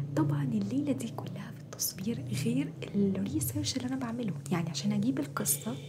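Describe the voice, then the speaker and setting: Amid music and audible room echo, a woman with a very deep, low voice talks fairly quickly with lively intonation. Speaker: ASMR and storytelling YouTuber. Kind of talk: casual vlog talk to viewers. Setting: at home, recording at dawn. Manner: trying to speak softer; animated.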